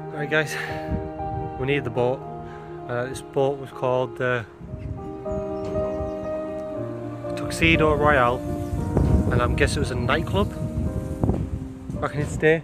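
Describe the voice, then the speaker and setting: Over loud music in the background, a man talks at a fairly slow pace with long, frequent pauses. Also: dry sound with no echo. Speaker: urban explorer vlogger. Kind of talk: casual vlog chat. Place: factory. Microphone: phone near.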